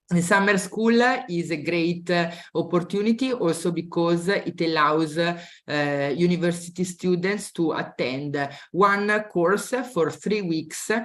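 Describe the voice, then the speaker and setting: Ordinary pitch variation comes with an Italian accent. The pace is fairly slow. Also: woman, fairly low pitch for a woman. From Italy. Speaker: university admissions representative. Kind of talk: webinar presentation. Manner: halting, many fillers.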